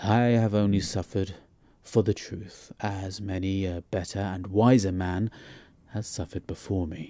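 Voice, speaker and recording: A man speaks in a fairly low voice with a dark, mellow tone and fairly even intonation. His pace is moderate, and the recording is very clean with a silent background. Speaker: audiobook narrator. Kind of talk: audiobook ghost story reading.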